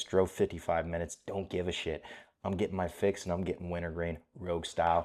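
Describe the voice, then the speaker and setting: Quiet and monotone, a man with a very deep, low voice talks at a very fast pace in a very clean recording with a silent background. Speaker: MMA commentary youtuber. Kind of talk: casual chat. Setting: hotel room, on camera. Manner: casual stream of thought.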